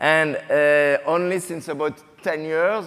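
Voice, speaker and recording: This man speaks with a French accent at a fairly slow pace. His pitch is fairly high. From France. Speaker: botanist. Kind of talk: panel discussion.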